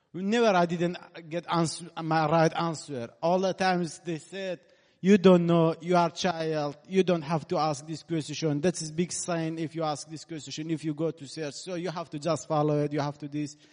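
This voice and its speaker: The speaker has a strong Iranian accent and fairly even intonation. The pace is moderate, against a quiet background. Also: man, fairly high pitch for a man. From Kurdistan region of Iran. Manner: halting, searching for words.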